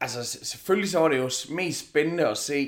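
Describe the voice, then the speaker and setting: A man talks in a plain, everyday voice. His pitch rises and falls in an ordinary way. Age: 40s. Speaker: MMA commentator and event host, not a fighter. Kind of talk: casual chat.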